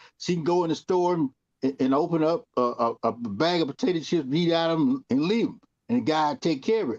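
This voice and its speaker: Fairly high for a man and lively in intonation, his unremarkable speaking voice moves at a fairly quick pace with a dry, close sound and no echo. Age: 60s. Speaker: TV talk show co-host. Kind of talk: casual panel discussion.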